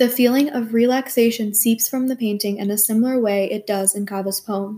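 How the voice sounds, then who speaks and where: Somewhat breathy with a dark, mellow tone, the voice proceeds at a moderate pace. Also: woman. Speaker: podcast host. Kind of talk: poem reading.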